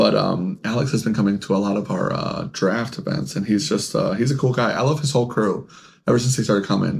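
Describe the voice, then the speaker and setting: Someone mumbles at a moderate pace. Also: man. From Mexican-American, bilingual upbringing. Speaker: podcast co-host. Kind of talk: casual chat. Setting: podcast on camera. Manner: mumbles, stumbles over words.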